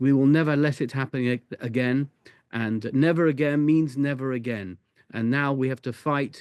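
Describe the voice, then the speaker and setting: A man's medium-pitched voice with a British accent, moderate pace and fairly even intonation, in a dry, close sound with no echo against a quiet background. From UK. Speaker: rabbi. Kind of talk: interview.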